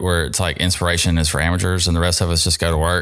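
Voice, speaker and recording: A man with a Mississippi accent is heard on a very clean recording with a silent background. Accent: US Southern (Mississippi). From Mississippi (South Jackson). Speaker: artist and sign maker. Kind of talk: interview. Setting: studio.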